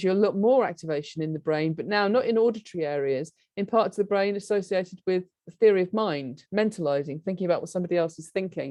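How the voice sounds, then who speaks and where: A woman with a British accent talks very fast in a medium-pitched, dark and mellow voice with lively intonation. The background is quiet. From UK. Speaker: professor of cognitive neuroscience. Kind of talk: lecture. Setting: webinar.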